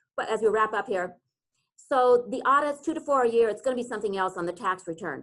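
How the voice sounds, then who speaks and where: A woman talks at a very fast pace. Her intonation is lively. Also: fairly high pitch for a woman. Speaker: real estate attorney presenting a seminar. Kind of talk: webinar presentation.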